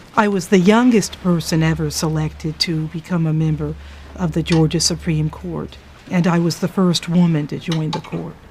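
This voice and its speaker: A woman speaks at a moderate pace, with noticeable background noise behind her. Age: 40s. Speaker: judge. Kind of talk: personal reflection.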